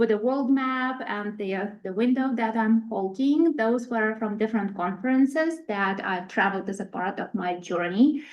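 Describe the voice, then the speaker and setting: A woman with a Ukrainian accent at a moderate pace, with ordinary pitch variation. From Ukraine. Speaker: international research specialist. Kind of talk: presentation. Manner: halting.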